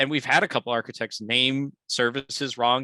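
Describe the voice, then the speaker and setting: Recorded very cleanly against a silent background, a man talks at a fairly quick pace in a bright, sharp tone with fairly even intonation, the sound dry and close with no echo. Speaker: devops architect presenting at meetup. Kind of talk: technical presentation and Q&A. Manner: fast; casual, many fillers.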